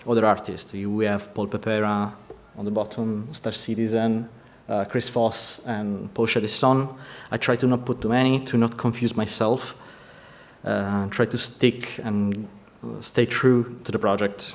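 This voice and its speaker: With an Italian accent, a man speaks at a fairly slow pace in monotone, flat intonation. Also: medium pitch for a man. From Italy. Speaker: vehicle concept artist. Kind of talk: conference presentation. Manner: halting.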